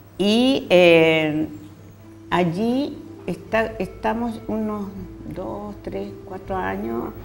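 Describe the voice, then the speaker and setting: With music in the background and audible room echo, a woman at a very deep, low pitch speaks at a very slow pace with long, frequent pauses, very wide pitch swings and big swings in loudness. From northern Chile (nitrate pampas, first region). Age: 70s. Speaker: poet and teacher. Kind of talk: interview.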